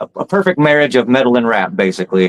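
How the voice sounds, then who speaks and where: With an American accent and an ordinary speaking voice, a man talks at a medium pitch and moderate pace. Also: dry, close sound with no echo. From US South, Alabama. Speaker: rapper. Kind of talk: casual chat.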